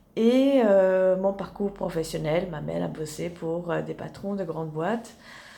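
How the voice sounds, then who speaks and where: Her dark, mellow, medium-pitched voice moves at a fairly slow pace with ordinary pitch variation, as this woman's speech carries audible room echo. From Italy (Rome) to age 12, then rural Tarn, France. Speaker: sophrologist, therapist. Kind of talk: casual personal introduction vlog. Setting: in her therapy office, lying in armchair. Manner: hesitant, many fillers.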